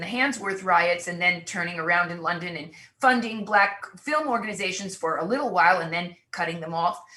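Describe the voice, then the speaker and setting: A woman with an ordinary speaking voice at medium pitch and a moderate pace. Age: 60s. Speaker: artist and cultural critic. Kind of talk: panel discussion.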